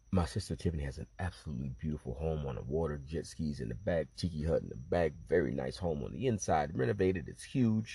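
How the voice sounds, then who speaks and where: Speaking at a very fast pace, a man with a very deep, low pitch shows vocal fry, a dark, mellow tone and lively intonation. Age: 40s. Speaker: podcaster, father and military veteran. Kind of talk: personal monologue. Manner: animated.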